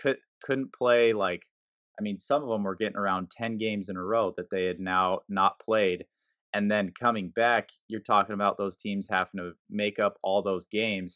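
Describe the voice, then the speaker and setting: A man's fairly low-pitched voice at a moderate pace, with fairly even intonation. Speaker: podcast co-host, college athlete. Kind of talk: casual chat.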